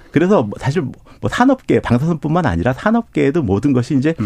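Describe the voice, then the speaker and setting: A man's dark, mellow tone with vocal fry and very wide pitch swings, a fairly quick pace, and a dry, close sound with no echo. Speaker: nuclear engineering professor. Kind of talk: expert interview. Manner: halting, frequent restarts.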